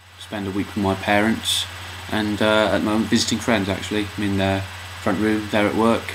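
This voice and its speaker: Over noticeable background noise, a man speaks at a fairly quick pace and a fairly low pitch, with monotone, flat intonation. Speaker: vlogger. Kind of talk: casual vlog talk to camera. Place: home room. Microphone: webcam.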